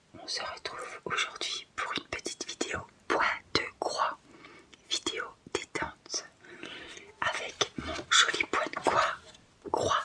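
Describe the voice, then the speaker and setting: Whispering in a gentle, relaxed tone at a very slow pace, with long, frequent pauses and noticeable background noise. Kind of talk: ASMR cross-stitch relaxation video, casual talk to camera. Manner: soft, gentle, relaxed.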